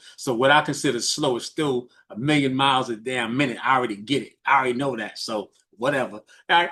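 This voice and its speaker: A man with an American accent speaks very fast at a medium pitch, his tone bright and sharp. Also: fairly even intonation. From New York, the Bronx. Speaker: business mentor. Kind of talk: coaching talk on a group call. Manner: fast talker.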